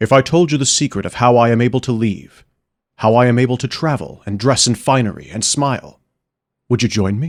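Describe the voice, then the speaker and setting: A man puts on a raspy character voice and speaks at a fairly quick pace. The recording is very clean, with a silent background. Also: medium pitch for a man. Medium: read story. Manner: warm, expansive, persuasive.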